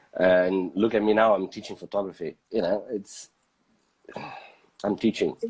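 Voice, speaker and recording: With a non-native accent, a man speaks at a moderate pace in a fairly low, monotone voice with flat intonation, pausing long and often. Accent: foreign. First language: not English. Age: 30s. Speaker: photographer. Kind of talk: casual chat. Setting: live video stream. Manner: halting, many fillers.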